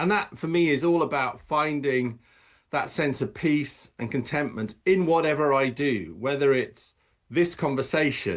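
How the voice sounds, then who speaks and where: With an English accent, a man at a fairly high pitch talks at a moderate pace with ordinary pitch variation over a quiet background. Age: 60s. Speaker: optometrist and professional coach. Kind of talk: podcast interview. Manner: halting.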